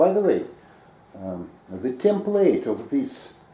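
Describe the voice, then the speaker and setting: Noticeable background noise accompanies a man speaking at a very slow pace. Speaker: researcher. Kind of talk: question and answer. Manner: halting.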